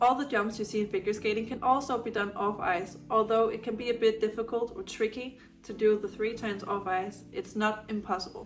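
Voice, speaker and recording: Someone with a Danish accent speaks at a moderate pace while music plays in the background. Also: woman. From Denmark. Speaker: adult beginner figure skater. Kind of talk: casual tutorial talk to camera.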